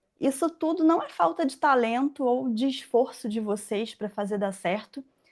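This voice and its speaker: High-pitched speech from a woman, with ordinary pitch variation. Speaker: furniture-making mentor and former factory owner. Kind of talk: live webinar presentation. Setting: online live stream. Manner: halting, many fillers.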